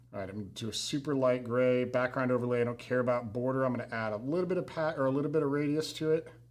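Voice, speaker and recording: A man's medium-pitched voice at a very fast pace with hardly any pauses, ordinary pitch variation and noticeable background noise. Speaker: marketing trainer. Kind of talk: live tutorial. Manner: casual.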